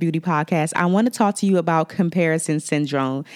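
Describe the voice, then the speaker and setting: Someone with an American accent speaks at a fairly quick pace with ordinary pitch variation. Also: woman. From Washington DC area. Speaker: makeup artist and podcast host. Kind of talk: solo podcast talk with tips. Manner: friendly, conversational.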